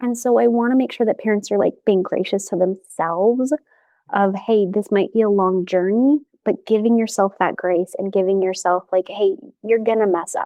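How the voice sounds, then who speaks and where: Speaking at a moderate pace, a woman with an American accent has a plain, everyday voice, a medium pitch and ordinary pitch variation. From US West, Las Vegas. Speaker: family therapist and professor. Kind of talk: podcast interview.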